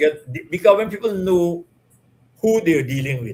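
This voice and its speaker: A man speaks with lively intonation and a somewhat breathy sound. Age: 70s. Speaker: retired police and military officer. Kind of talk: interview. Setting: live stream.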